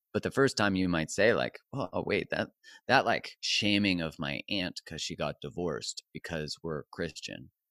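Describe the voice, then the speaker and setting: On a very clean recording with a silent background and a dry, close sound with no echo, a man with a very deep, low pitch and a bright, sharp tone speaks at a moderate pace with lively intonation. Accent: Canadian. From Canada. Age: 40s. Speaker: relationship coach. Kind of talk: interview.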